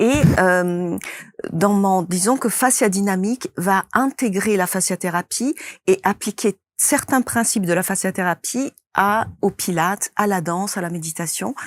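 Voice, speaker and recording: A woman with a medium pitch speaks at a fairly slow pace with ordinary pitch variation. The recording is very clean with a silent background. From Italy. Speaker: movement therapist and method creator. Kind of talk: interview. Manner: hesitant, with many fillers.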